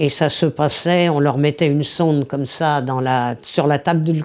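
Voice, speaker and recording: This woman's voice is very deep and low. Her pitch varies in an ordinary way. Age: 70s. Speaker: feminist activist. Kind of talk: interview testimony.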